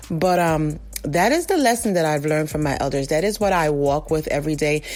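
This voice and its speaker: Over music in the background, a woman with a very deep, low pitch talks at a fairly quick pace with ordinary pitch variation. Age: 40s. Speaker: listener contributor. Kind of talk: recorded testimony.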